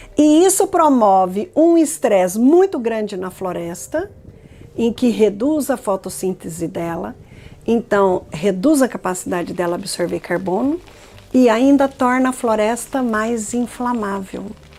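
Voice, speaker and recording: A woman's fairly high pitch with very wide pitch swings at a fairly slow pace, over noticeable background noise. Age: 60s. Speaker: climate scientist. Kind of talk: documentary interview.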